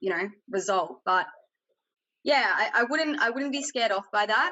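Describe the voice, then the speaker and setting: Her pitch rises and falls in an ordinary way. This woman talks with an Australian accent. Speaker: tech industry panelist. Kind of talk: panel discussion. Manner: loud.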